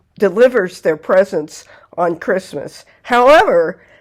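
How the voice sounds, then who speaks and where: On a very clean recording with a silent background, a woman talks at a fairly slow pace with lively intonation in a plain, everyday voice. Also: medium pitch for a woman. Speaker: folklore channel host. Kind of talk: folklore narration to camera.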